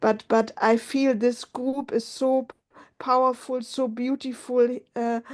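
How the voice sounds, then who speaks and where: A woman speaks at a high pitch and a very slow pace, her intonation monotone and flat. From Germany. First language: German. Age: 50s. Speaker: support group member. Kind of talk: emotional sharing in support group. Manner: halting.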